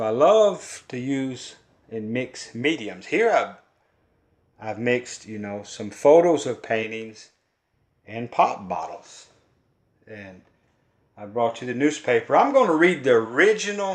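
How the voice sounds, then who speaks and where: A man with a Kentucky accent speaks at a fairly slow pace in a medium pitch, his intonation lively, his loudness swinging widely, and his pauses long and frequent. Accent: Kentucky Southern. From Kentucky, US South. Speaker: folk artist and poet. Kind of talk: casual art talk.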